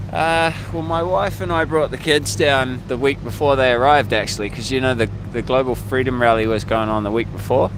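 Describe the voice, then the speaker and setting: Over music in the background, a man with a medium pitch talks at a fairly quick pace with ordinary pitch variation. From New Zealand. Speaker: protester. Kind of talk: street interview. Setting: outdoors.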